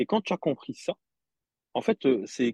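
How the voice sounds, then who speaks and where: Dark and mellow in tone, a man's voice makes very wide pitch swings at a moderate pace, dry and close with no echo. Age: 40s. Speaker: dry cleaner manager and social media motivator. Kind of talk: casual interview chat.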